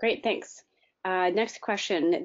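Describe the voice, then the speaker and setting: A woman with an unremarkable speaking voice talks at a medium pitch and moderate pace with fairly even intonation. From Chicago, US Midwest. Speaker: aviation safety outreach host. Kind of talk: webinar presentation and Q&A moderation.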